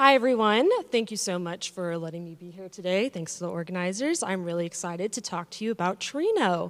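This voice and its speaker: A woman with a medium-pitched voice speaks fairly quickly with hardly any pauses. Her pitch varies in an ordinary way. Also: big swings in loudness. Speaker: developer advocate and conference speaker; conference speaker. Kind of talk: lightning talk. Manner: fast. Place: hall. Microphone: handheld.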